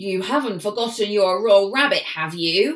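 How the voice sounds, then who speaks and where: A female-sounding put-on character voice growls at a medium pitch. The pace is moderate. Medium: read story.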